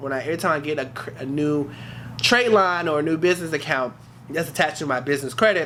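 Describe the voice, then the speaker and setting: A man speaks at a very fast pace in a fairly high pitch with ordinary pitch variation. Noticeable background noise runs behind him. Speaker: YouTuber sharing business credit journey. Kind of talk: casual vlog talk to camera.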